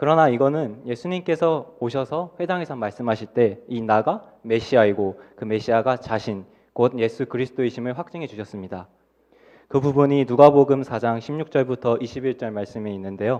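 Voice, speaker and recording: A man's dark, mellow tone with ordinary pitch variation over a quiet background. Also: medium pitch for a man. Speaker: junior pastor preaching. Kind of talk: sermon. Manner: fast.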